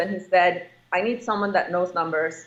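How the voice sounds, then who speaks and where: A woman at a moderate pace with a fairly low pitch, an ordinary speaking voice, and ordinary pitch variation. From immigrant family, moved to US as child. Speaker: real estate investor. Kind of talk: interview.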